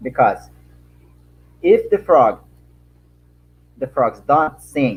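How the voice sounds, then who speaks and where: Speaking very slowly with a Brazilian accent, a man leaves long, frequent pauses. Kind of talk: panel answer. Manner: halting, non-fluent English.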